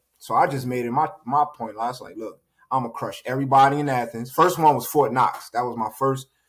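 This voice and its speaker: A man at a medium pitch with an American accent, fairly quick pace, fairly even intonation and big swings in loudness. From Northeast US (New Jersey). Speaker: battle rapper and boxing trainer. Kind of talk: casual interview chat. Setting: podcast.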